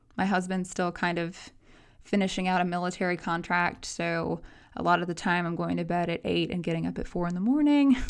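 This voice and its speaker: A woman's fairly low voice with an American accent, ordinary pitch variation and a fairly quick pace, on a very clean recording with a silent background. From US South, Nashville, Tennessee. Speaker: college instructor. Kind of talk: course introduction video lecture. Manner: fast; animated.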